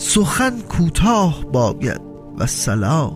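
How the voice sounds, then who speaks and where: A man's voice with very wide pitch swings, music in the background. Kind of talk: poetry reading.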